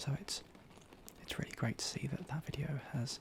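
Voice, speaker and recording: A man whispers at a fairly quick pace. Background noise is noticeable. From Britain. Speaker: ASMR creator. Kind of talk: casual talk to camera. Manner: soft-spoken, occasionally whispering.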